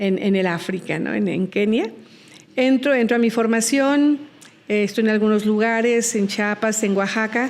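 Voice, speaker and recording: At a fairly slow pace, a woman speaks in a fairly high pitch with ordinary pitch variation and very even loudness. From Mexico. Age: 60s. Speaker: missionary nun and nurse. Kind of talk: interview.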